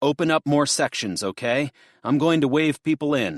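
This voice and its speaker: A man shouts in a put-on character voice at a fairly high pitch and a moderate pace, with very even loudness. The sound is dry and close with no echo, on a very clean recording with a silent background. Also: ordinary pitch variation. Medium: read story. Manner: shouting, commanding.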